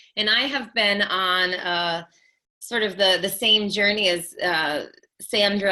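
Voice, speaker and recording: Very slowly, a woman with an American accent speaks in a bright, sharp tone at a medium pitch with ordinary pitch variation. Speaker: mom coach and mindfulness teacher. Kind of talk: live-stream talk.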